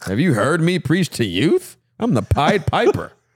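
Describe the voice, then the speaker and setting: Vocal fry and very wide pitch swings at a fairly slow pace, in a very clean recording with a silent background and a dry, close sound with no echo. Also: man. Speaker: pastor. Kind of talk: casual chat.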